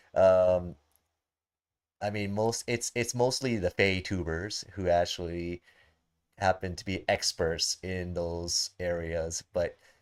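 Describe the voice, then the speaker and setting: A man's very deep, low voice with a non-native accent, at a very slow pace, on a very clean recording with a silent background. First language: not English. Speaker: gaming streamer. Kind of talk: live stream gameplay commentary. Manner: halting, many restarts and fillers. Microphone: new microphone.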